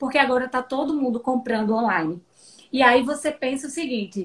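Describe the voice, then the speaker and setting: Pitched high, a woman's voice rises and falls in an ordinary way. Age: 40s. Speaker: digital education mentor. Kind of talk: casual interview. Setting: live video stream.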